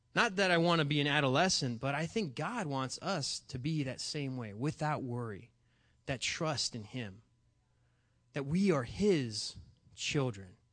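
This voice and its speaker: With lively intonation and a fairly high pitch, a man speaks at a fairly slow pace. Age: 20s. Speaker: youth pastor. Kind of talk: sermon. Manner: halting, many fillers and restarts.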